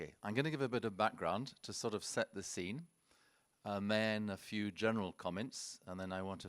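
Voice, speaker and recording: In a British accent, a man talks at a moderate pace with a fairly low pitch and ordinary pitch variation. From UK. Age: 70s. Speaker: wildlife conservationist. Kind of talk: conference presentation. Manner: halting, with frequent repetitions.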